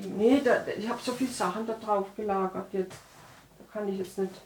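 A woman talks with fairly even intonation over noticeable background noise. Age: 70s. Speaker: retired teacher, interviewee. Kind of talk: documentary interview.

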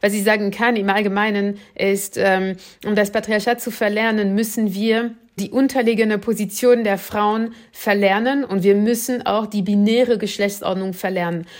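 At a moderate pace, a woman speaks in a fairly high pitch. Her intonation is monotone and flat. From France. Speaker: political scientist and author. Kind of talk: interview.

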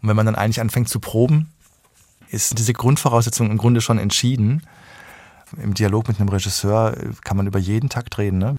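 A man speaks at a fairly quick pace in a medium pitch, with fairly even intonation. His speech has long, frequent pauses. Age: 40s. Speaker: conductor and harpsichordist. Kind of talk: interview. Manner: calm.

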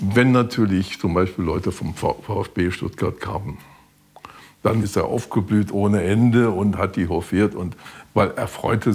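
A man in a normal speaking voice, fairly low-pitched and fairly slow, with fairly even intonation. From Westphalia (eastern). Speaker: former regular guest of the restaurant. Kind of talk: interview.

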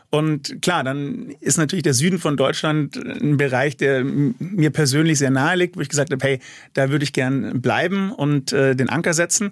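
A man's normal speaking voice, fairly high in pitch, with lively intonation, moderate pace and very even loudness, in a very clean recording with a silent background. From Munich. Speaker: forensic pathologist. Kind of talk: interview.

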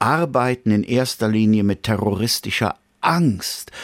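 The voice comes very slowly with vocal fry, recorded very cleanly against a silent background with a dry, close sound and no echo. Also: man. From Bergisches Land, Rhineland (Wipperfürth). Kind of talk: radio interview.

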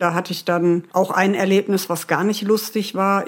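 A woman speaks at medium pitch. She has an ordinary speaking voice. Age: 40s. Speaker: former homeless person. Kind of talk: interview testimony. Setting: remote call from home.

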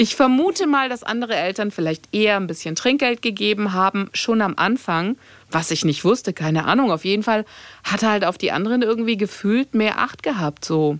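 A woman has a normal speaking voice at a medium pitch. She talks at a fairly quick pace with lively intonation. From Greece. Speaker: radio host. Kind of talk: casual chat.

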